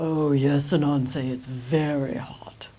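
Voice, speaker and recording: Using a put-on character voice, a woman speaks very slowly at a very deep, low pitch. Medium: read story. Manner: courteous.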